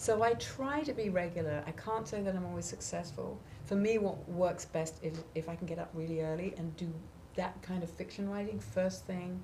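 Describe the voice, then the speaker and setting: At a moderate pace, a woman with a fairly low pitch speaks with lively intonation amid audible room echo and noticeable background noise. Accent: English. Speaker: author and songwriter. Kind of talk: interview.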